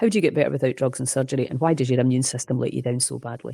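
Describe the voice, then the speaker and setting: A woman speaks with a Scottish accent. Her pitch is very deep and low, and her tone is dark and mellow. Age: 60s. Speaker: holistic health coach. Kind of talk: interview. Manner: animated.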